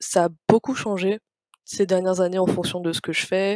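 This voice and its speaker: A woman talks at a moderate pace with monotone, flat intonation. The sound is dry and close, with no echo. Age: 20s. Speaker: interior designer and book blogger. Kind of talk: casual interview. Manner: halting, many repeats and fillers.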